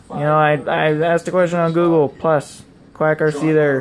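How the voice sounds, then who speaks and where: Here a man talks at a fairly slow pace. Background noise is noticeable. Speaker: video blogger and RC hobbyist. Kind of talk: casual vlog monologue. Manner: rambling, filler-heavy. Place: home room. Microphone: phone near.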